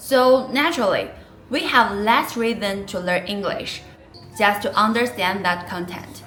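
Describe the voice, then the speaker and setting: A woman with a Chinese accent, fairly high pitch and ordinary pitch variation, at a fairly slow pace, with music in the background. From China. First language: Mandarin Chinese. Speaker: vlogger. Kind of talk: personal vlog narration.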